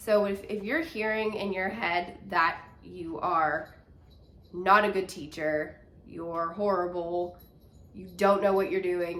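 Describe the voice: Speaking at a slow pace, a woman with a nasal, fairly bright tone and fairly low pitch keeps a fairly even intonation amid audible room echo.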